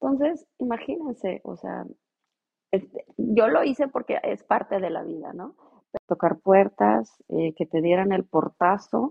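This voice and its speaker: A woman speaks at a fairly slow pace. Her loudness swings widely. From Mexico, Monterrey. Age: 40s. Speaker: regulatory affairs professional. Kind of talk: interview.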